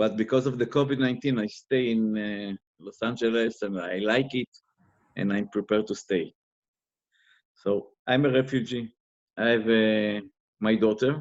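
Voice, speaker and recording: This man has a non-native accent and a fairly low pitch. He talks at a fairly slow pace with fairly even intonation. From Israel. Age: 50s. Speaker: interviewee, former investigator. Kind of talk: interview. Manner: halting.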